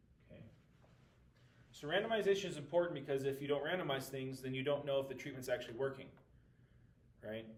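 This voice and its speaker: A man with a fairly high pitch talks at a very fast pace yet with long, frequent pauses, ordinary pitch variation, big swings in loudness and audible room echo. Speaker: math teacher. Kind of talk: recorded lesson walking through class notes. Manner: casual with frequent fillers.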